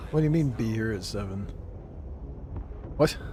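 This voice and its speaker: A man's moderate pace and ordinary pitch variation come with audible room echo. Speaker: video game streamer. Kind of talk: gaming livestream chat.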